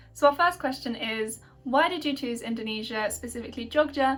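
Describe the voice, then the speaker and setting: A woman with a British accent speaks in a high voice. Her pace is moderate, and her pitch varies in an ordinary way. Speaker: YouTuber, university student. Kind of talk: casual Q&A chat. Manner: hesitant, many fillers.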